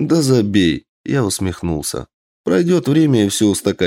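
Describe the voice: Plain reading aloud with lively intonation over a quiet background.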